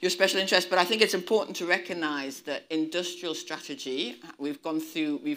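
A woman speaks in a very deep, low voice. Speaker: politician giving keynote. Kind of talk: keynote speech. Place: hall. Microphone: lapel.

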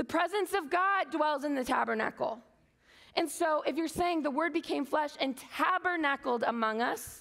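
An animated, high-pitched woman's voice against a quiet background. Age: 30s. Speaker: conference speaker. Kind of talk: sermon. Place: stage.

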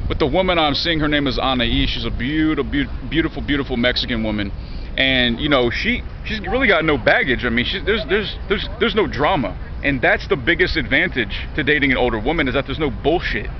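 A man speaks at a very fast pace in a dry sound with no echo, over light background noise. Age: 30s. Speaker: vlogger. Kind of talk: casual monologue vlog. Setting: outdoors in a park. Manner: repetitive stammering. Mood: candid, slightly frustrated. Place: garden. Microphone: phone near.

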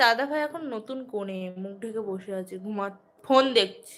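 Ordinary pitch variation in a woman's voice. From West Bengal, Nadia district (Ranaghat). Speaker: vlogger. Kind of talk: live stream chat.

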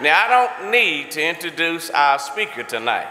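A fairly high-pitched man speaks at a fairly slow pace with lively intonation. Light background noise is present. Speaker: church leader. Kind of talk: welcome and introduction. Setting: church. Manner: animated. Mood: warm, joking. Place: church. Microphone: podium.

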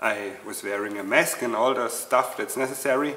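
A man speaks in a room with audible echo. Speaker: channel host. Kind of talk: casual vlog chat. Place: workshop.

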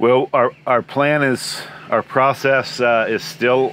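A man at a fairly slow pace, in a dry sound with no echo and light background noise. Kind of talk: interview answer. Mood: warm, enthusiastic. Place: open country. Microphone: lapel.

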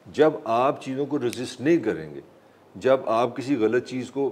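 Vocal fry runs through a man's medium-pitched voice. He keeps a moderate pace. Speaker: journalist and political analyst. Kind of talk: talk show interview.

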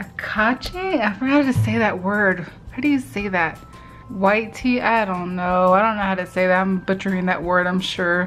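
A woman speaks with ordinary pitch variation. Faint music plays in the background. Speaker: vlogger. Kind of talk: casual vlog chat, product taste review. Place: home room. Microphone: phone near.

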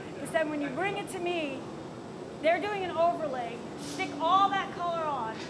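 Noticeable background noise sits behind a woman's voice. She speaks high-pitched at a moderate pace. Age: 60s. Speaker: visiting glass artist teaching a demo; visiting glass artist instructor. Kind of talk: live glassblowing demonstration and instruction. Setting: glass hot shop studio. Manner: animated. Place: workshop. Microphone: camera far.

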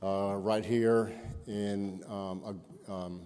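Flat and monotone, a man speaks with a fairly low pitch and a dark, mellow tone. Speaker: keynote speaker. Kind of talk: keynote speech. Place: hall.

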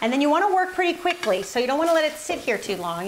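An upbeat voice with an American accent comes through over light background noise. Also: woman. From United States. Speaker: cooking channel host. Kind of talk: cooking tutorial. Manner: upbeat and chatty. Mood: warm, upbeat. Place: kitchen.

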